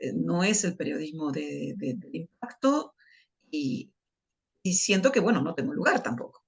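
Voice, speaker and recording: A woman is speaking. Her pace is fairly slow. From Argentina, Buenos Aires province (Dolores). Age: 60s. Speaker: journalist and writer. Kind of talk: interview. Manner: halting.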